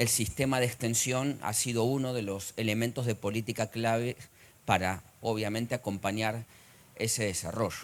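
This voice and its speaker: A man with an Argentine accent, medium in pitch, with fairly even intonation at a moderate pace. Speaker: economist, conference speaker. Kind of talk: conference lecture. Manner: frequent hesitations.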